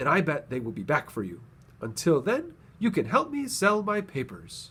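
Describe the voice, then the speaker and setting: A man puts on a character voice, high in pitch with very wide pitch swings. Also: moderate pace. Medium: read story.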